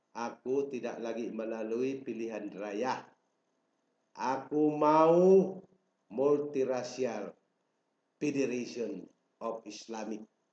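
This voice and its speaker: Audible room echo surrounds a man's medium-pitched voice. He talks at a very slow pace. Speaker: self-proclaimed royal claimant. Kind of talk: political proclamation. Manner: formal. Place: home room. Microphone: webcam.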